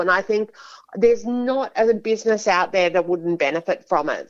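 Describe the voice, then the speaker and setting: Speaking fairly quickly, a woman with an Australian accent uses a medium pitch. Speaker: business executive. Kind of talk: radio interview.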